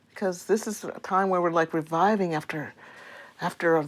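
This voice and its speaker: This woman's voice sits fairly low and moves through an ordinary range of pitch. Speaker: comedy show co-producer. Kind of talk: casual interview chat. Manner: animated.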